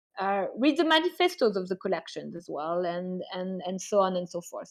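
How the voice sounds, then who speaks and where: Against a quiet background, a woman with a French accent speaks at a fairly slow pace in a medium pitch. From France. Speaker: art curator and advisor. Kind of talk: online class lecture. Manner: hesitant with many fillers.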